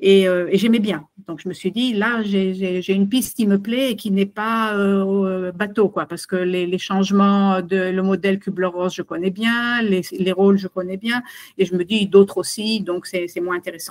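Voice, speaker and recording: A woman speaks at a fairly slow pace with fairly even intonation. Her pitch sits in the medium range. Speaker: consultant and webinar presenter. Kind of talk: webinar presentation. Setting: video call webinar. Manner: halting, many fillers.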